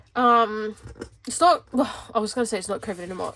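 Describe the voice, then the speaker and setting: Music plays in the background as a woman speaks in an Australian accent. Her tone is animated and her pitch fairly high. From Western Australia (Perth). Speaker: planner vlogger. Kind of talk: casual chat. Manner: rambling, animated.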